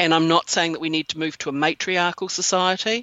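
A woman speaks in a New Zealand accent. Her voice is very deep and low, with ordinary pitch variation. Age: 50s. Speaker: yoni egg practitioner. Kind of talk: interview conversation.

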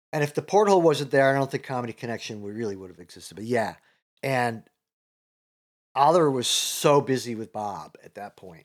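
This is a normal speaking voice with lively intonation and big swings in loudness. The recording is very clean, and the background is silent. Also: man, medium pitch for a man, fairly quick pace. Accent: American. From Chicago, US Midwest. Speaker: comedian and comedy teacher. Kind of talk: casual interview chat.

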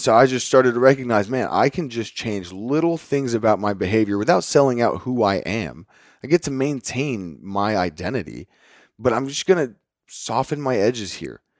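In a very clean recording with a silent background, a man with a plain, everyday voice and an American accent speaks at medium pitch with lively intonation. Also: moderate pace. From Northwest Texas (Lubbock). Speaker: fitness coach. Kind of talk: casual interview.

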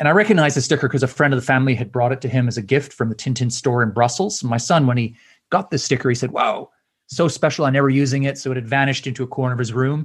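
A man's medium-pitched, somewhat breathy voice at a very fast pace with ordinary pitch variation, in a very clean recording with a silent background. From Canada. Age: 50s. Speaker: author and speaker. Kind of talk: interview.

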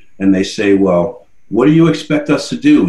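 A man's medium-pitched voice with an American accent, ordinary pitch variation and a moderate pace, amid noticeable background noise and audible room echo. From New Jersey (Paterson). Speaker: nonprofit leader and military veteran. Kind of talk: interview. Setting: studio.

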